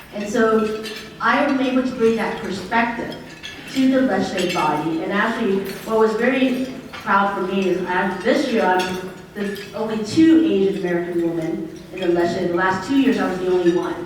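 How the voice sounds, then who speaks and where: Noticeable background noise and audible room echo around a woman's voice, its pitch varying in an ordinary way. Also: medium pitch for a woman, moderate pace. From Vietnam. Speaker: state senator. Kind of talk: panel discussion. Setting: stage with audience.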